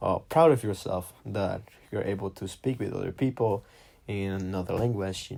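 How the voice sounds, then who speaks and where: This man's voice is fairly low and somewhat breathy, with a non-native accent and ordinary pitch variation. He speaks at a moderate pace on a very clean recording with a silent background. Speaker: podcast host. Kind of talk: personal monologue podcast. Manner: hesitant, many fillers.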